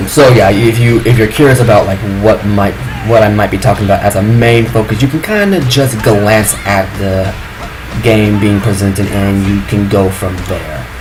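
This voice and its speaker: In a room with audible echo and music in the background, a soft-spoken man talks at a moderate pace with a fairly low pitch and ordinary pitch variation. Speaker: gaming video creator. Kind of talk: casual rant to camera.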